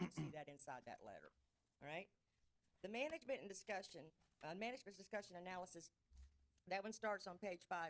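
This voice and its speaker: In a Mississippi accent, a woman at a medium pitch speaks at a very fast pace with lively intonation. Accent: Southern US (Mississippi). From US South. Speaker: auditor. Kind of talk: presentation to city council. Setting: council chamber meeting.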